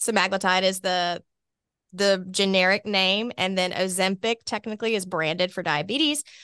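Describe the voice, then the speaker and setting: Speaking with an Alabama accent at a medium pitch, a woman keeps a moderate pace and ordinary pitch variation in a bright, sharp tone, the sound dry and close with no echo over a quiet background. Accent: Southern US (Alabama). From Alabama, US South (Birmingham). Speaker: obesity medicine doctor. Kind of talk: expert interview explaining medicine.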